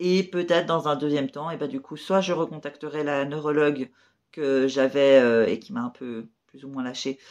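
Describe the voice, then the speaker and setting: Against a quiet background, the words come out at a moderate pace. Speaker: chronic illness vlogger. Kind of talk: casual vlog monologue. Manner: hesitant, many fillers.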